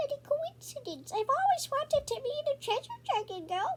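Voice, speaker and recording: A squeaky, put-on character voice rises to an extremely high pitch at a moderate pace. Clear background noise sits behind it. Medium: read story. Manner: cheerful, encouraging.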